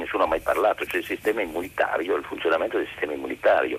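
A man speaks over noticeable background noise. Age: 70s. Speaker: caller. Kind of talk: phone-in opinion.

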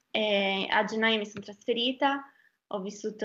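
A fairly slow pace against a quiet background. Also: woman. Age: 20s. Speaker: young doctor. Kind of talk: casual interview.

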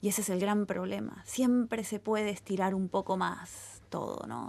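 A woman with a Rioplatense accent at a moderate pace, fairly even intonation, quiet background. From Argentina, Buenos Aires. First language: Spanish (speaking Italian). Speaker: novelist. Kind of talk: interview.

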